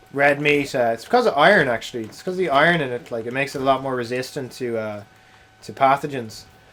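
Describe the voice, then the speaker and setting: Noticeable background noise sits under this very fast speech, which has big swings in loudness and ordinary pitch variation. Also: man, medium pitch for a man. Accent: Dublin. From Ireland, Wicklow near Dublin. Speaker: video game streamer. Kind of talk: casual live-stream chat.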